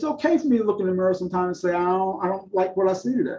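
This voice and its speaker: Speaking at a very fast pace with an American accent, a man has a high pitch and a dark, mellow tone. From Virginia, US South. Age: 60s. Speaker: public speaker in addiction recovery. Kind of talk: interview testimony.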